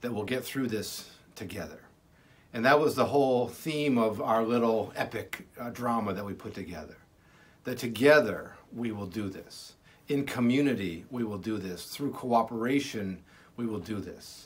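Speaking at a moderate pace, a man uses ordinary pitch variation and shows big swings in loudness. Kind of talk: pastoral message, sermon-like. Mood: warm, reassuring, hopeful. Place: office. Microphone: phone near.

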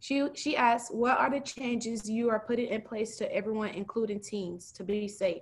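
A woman speaks at a moderate pace with fairly even intonation. Her pitch sits fairly high.

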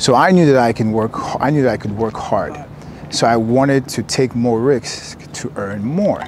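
A man at a medium pitch, ordinary pitch variation and a moderate pace, with noticeable background noise. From US, Maryland. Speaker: real estate entrepreneur. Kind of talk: casual interview.

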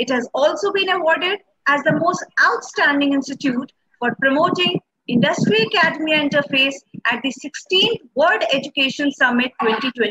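A woman speaks at a moderate pace in a raised, projected voice. Behind her the background is quiet. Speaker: event host. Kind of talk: formal welcome address. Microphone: earbuds.

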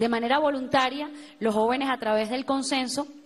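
At a moderate pace and with fairly even intonation, a woman talks in an unremarkable speaking voice. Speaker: youth organizer. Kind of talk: TV interview. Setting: TV studio.

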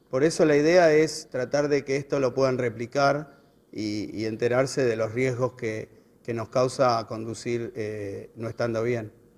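A man is speaking at a fairly slow pace. His pitch variation is ordinary. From Buenos Aires, Argentina; Argentina. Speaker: road safety educator. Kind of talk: interview. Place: hall. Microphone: handheld.

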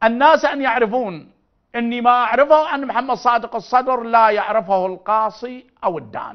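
In an animated tone and with an Iraqi accent, a man speaks at a fairly slow pace with an extremely high pitch and ordinary pitch variation, against a quiet background. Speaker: religious figure; TV guest, speaker. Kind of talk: interview. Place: studio.

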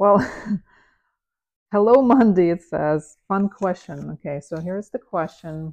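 With a non-native accent and a relaxed tone, a woman speaks at a fairly slow pace with long, frequent pauses, big swings in loudness and ordinary pitch variation against a quiet background. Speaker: photographer. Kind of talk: unscripted casual talk to camera. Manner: relaxed, with filler words and pauses. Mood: relaxed, amused. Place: home room. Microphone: lapel.

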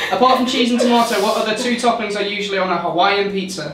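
Audible room echo and light background noise are both present in the clip. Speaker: quiz host reading questions. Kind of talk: casual quiz game banter. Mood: playful, laughing. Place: bathroom.

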